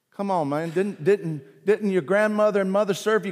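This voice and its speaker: A man's high-pitched voice in a Southern US accent, at a fairly slow pace. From US South (South Carolina/Virginia roots). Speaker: pastor. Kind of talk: sermon. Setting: church. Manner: animated.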